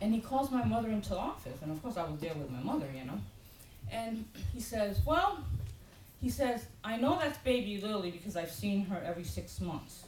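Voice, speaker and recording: A woman's medium-pitched, animated voice at a fairly quick pace, with very wide pitch swings, audible room echo and noticeable background noise. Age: 50s. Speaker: pastor. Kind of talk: sermon.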